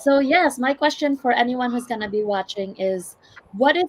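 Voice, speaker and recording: A woman speaks with a strong Filipino accent and ordinary pitch variation. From Philippines, Visayas. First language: Visayan. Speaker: healthcare worker and online business owner. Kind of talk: live stream panel talk.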